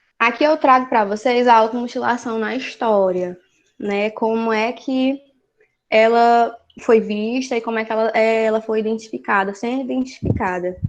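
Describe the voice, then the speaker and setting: Against a quiet background, a woman uses an ordinary speaking voice at a fairly high pitch. Her intonation is fairly even, and her pace is moderate. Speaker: study group teacher. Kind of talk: lecture.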